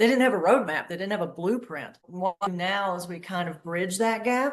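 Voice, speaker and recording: A woman's medium-pitched voice with a North Florida accent. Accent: Southern US (North Florida). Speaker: agency founder, creative strategist. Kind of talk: podcast interview.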